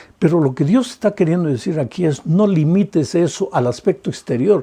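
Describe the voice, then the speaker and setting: A man's dark, mellow voice is somewhat breathy, with lively intonation. The background is quiet. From Peru. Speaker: pastor. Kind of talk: sermon.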